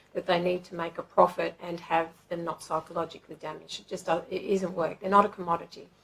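A woman speaks with little pitch movement. Her voice sits at a fairly low pitch.

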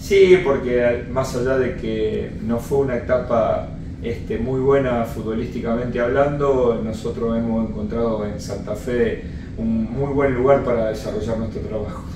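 Over music in the background and audible room echo, a man talks at a fairly slow pace with ordinary pitch variation. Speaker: football coach. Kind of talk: interview answer. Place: home room.

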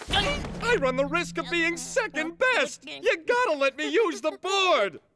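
This put-on character voice moves along at a fairly slow pace. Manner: brash, boastful.

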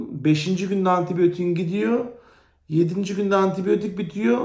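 The recording carries audible room echo. A man speaks at a moderate pace with a high pitch. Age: 30s. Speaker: vlogger, thyroid cancer patient. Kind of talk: personal testimony vlog.

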